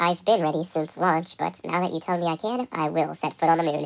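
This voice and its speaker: A woman puts on a raspy character voice, fairly low in pitch. She talks at a fairly quick pace. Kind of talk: mock radio-protocol roleplay. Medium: machinima.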